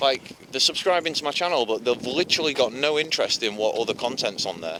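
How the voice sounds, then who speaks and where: A man with a Yorkshire accent talks at a fairly quick pace, his pitch fairly high and swinging very widely. Background noise is noticeable throughout. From Yorkshire, northern England. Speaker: vlogger. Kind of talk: casual vlog monologue while walking.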